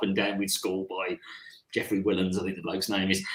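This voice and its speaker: A man talks very fast with a Birmingham accent and lively intonation. His tone is bright and sharp. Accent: Birmingham (Brummie) English. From England, Birmingham. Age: 60s. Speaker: career coach. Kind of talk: casual chat. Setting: live online session.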